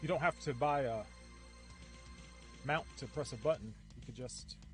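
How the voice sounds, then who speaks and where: Music plays behind a man who talks at a moderate pace with big swings in loudness. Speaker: artist streamer. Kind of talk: casual live stream talk.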